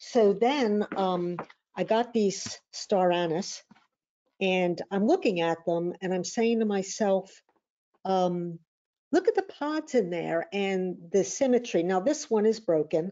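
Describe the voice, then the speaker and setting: Lively intonation at a very slow pace. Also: woman. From US Northeast, Philadelphia. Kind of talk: webinar presentation. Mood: reflective, relaxed. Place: home room. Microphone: webcam.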